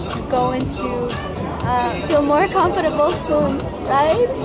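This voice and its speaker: A woman speaks at a fairly slow pace over loud background music. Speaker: vlogger. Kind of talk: casual vlog chat. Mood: warm, affectionate, excited. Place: cafe. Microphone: phone near.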